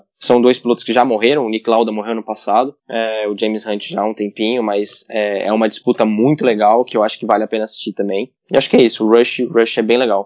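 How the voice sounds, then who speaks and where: Speaking at a very fast pace, a man holds a medium pitch. His intonation is monotone and flat. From Goiânia, Brazil. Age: 20s. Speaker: racing driver. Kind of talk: interview.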